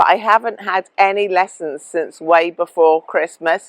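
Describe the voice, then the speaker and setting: A woman speaks in an English accent at a fairly low pitch, with ordinary pitch variation. Her pace is fairly slow, and the sound is dry and close with no echo. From England. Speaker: travel vlogger. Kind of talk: casual vlog tutorial.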